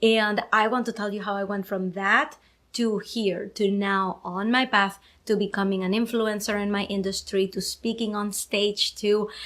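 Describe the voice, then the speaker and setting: On a very clean recording with a silent background, a woman speaks at a moderate pace. Her pitch is medium, and she has a Venezuelan accent. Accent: Venezuelan Spanish accent, noticeable. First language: Spanish. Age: 30s. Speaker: podcast host. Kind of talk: casual live video chat. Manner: energetic.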